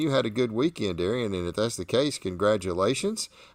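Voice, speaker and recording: In a Southern US accent, a man speaks at a moderate pace with very wide pitch swings, on a very clean recording with a silent background and a dry, close sound with no echo. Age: 60s. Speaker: barbecue competition host. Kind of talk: live show chat.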